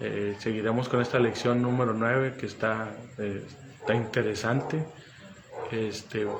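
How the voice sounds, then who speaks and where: A man with a medium-pitched voice speaks at a moderate pace in a monotone, flat delivery with long, frequent pauses. Noticeable background noise and audible room echo surround him. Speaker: pastor. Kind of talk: sermon. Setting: livestream.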